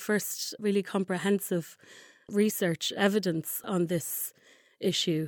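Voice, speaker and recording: A Dublin accent at a fairly slow pace, fairly even in intonation, dry and close with no echo, on a very clean recording with a silent background. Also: woman. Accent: Irish (Dublin). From Ireland, Dublin. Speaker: human rights researcher. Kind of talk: interview. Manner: halting, many fillers and repeats.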